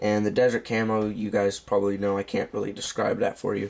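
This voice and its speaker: The man's fairly low voice stays monotone and flat in intonation at a moderate pace. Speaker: knife reviewer. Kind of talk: product review video. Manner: casual with many fillers.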